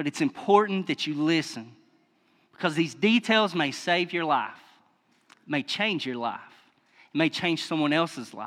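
A man with a Kentucky accent speaks at a high pitch and a fairly slow pace. His intonation is lively, broken up by long, frequent pauses. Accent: Kentucky Southern US. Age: 30s. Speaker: lay preacher. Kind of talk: sermon. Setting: church.

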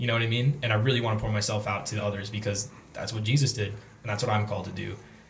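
Somewhat breathy and fairly low in pitch, a man speaks very fast in a monotone, flat intonation. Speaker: college student. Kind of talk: casual chat.

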